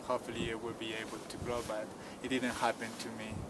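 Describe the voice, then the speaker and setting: Audible room echo mixes with noticeable background noise in this clip. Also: man. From Peru, Cusco highlands. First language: Quechua. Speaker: tour guide. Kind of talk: interview.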